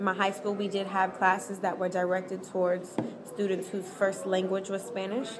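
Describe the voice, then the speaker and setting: A woman speaks with an American accent and fairly even intonation. Room echo and noticeable background noise can be heard. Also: medium pitch for a woman, moderate pace. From Texas, Dallas area. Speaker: college student interviewee. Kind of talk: testimony.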